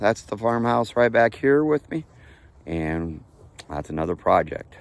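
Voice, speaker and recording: Lively intonation from a man at a moderate pace, over noticeable background noise. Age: 60s. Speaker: farmer and channel owner. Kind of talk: casual vlog talk. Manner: halting with fillers.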